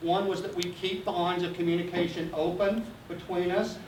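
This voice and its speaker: Noticeable background noise and audible room echo fill the recording. A man speaks in a high pitch at a moderate pace. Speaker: geology professor. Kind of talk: public lecture. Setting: community meeting hall with audience. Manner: animated.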